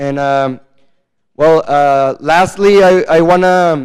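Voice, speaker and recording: The speaker talks with a Spanish accent and fairly even intonation. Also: man. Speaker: politician. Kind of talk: conference presentation. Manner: halting, many fillers and repetitions.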